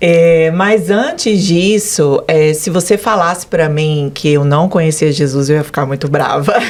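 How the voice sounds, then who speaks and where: A woman's fairly low voice at a fairly slow pace, hardly any pauses, ordinary pitch variation, and noticeable background noise. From Brazil, Goiânia. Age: 40s. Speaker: business owner giving religious testimony. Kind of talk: testimony interview.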